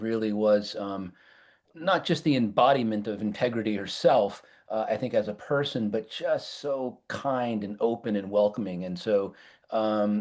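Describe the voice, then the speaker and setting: A man with an American accent speaks at medium pitch with ordinary variation against a quiet background. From United States. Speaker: professor. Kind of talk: panel discussion. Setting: online webinar. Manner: hesitant, many fillers.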